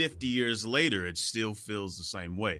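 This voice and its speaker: A man with a fairly low-pitched, bright, sharp voice and lively intonation speaks at a moderate pace in a very clean recording with a silent background. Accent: American. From Kansas City, Kansas. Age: young. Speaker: drummer. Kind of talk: interview.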